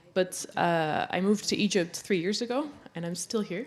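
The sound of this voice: A woman at a moderate pace with ordinary pitch variation. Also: fairly low pitch for a woman.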